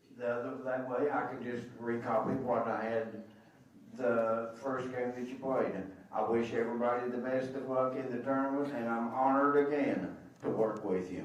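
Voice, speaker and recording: This man speaks at a moderate pace in a monotone, flat delivery with medium pitch. Noticeable background noise and audible room echo fill the recording. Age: 70s. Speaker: official scorer. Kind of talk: public address to coaches. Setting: arena meeting with microphone.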